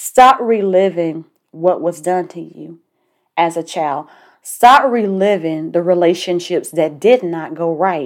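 Someone speaks very slowly in a Southern US accent, with ordinary pitch variation and big swings in loudness. The recording is very clean and the background silent. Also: woman, fairly low pitch for a woman. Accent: southern twang. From US South. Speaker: life coach podcast host. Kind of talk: motivational monologue. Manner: casual.

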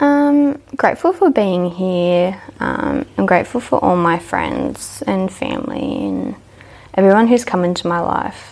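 Over noticeable background noise, a woman talks at a fairly slow pace with very wide pitch swings. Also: medium pitch for a woman. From Australia, New South Wales (Dubbo). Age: young. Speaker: hairdressing apprentice. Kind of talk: interview, personal story.

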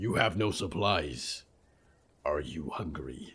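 In a put-on character voice, a man growls and rumbles at an extremely low pitch, speaking slowly with lively intonation. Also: fairly bright tone.

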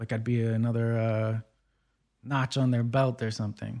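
In a very clean recording with a silent background, a man with an American accent speaks at a moderate pace and medium pitch, his tone dark and mellow and his intonation fairly even. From Brookline, Massachusetts (Boston area). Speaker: rapper and clinical social worker. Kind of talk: interview.

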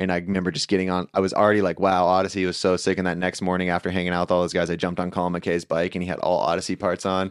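A very fast, nearly pause-free delivery from a man with an American accent, very deep and low in pitch, monotone and flat, in a dry, close, echo-free, very clean recording with a silent background. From San Diego area, California. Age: 30s. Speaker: professional BMX rider. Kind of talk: casual chat.

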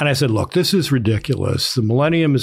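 There is some breathiness in the voice of a man with an American accent. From Baltimore, US. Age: 70s. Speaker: author and political analyst. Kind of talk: casual interview conversation.

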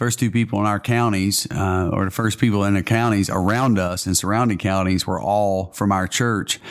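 A man with a Southern US accent speaks at a moderate pace and fairly low pitch, with hardly any pauses, fairly even intonation and very even loudness. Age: 40s. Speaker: pastor. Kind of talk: casual interview.

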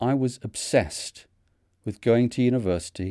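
Fairly slow speech in a Mancunian accent carries ordinary pitch variation. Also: man. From northern England, Manchester. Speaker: retired vicar and theologian. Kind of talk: scripted narration.

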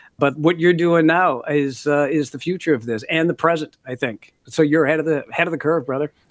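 A man with an American accent talks at a fairly quick pace and fairly high pitch, with fairly even intonation and hardly any pauses. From US Midwest, Minneapolis (Canadian-born). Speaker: author and former broadcaster. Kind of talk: interview.

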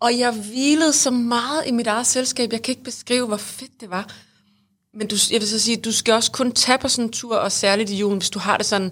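A woman with an unremarkable speaking voice talks at a moderate pace, her fairly high pitch following fairly even intonation. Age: 40s. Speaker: podcast co-host. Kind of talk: casual chat.

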